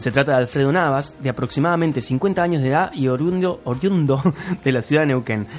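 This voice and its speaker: Music plays in the background while a man talks. He speaks at a fairly quick pace with lively intonation. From Argentina, Córdoba. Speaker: podcast co-host. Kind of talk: casual chat.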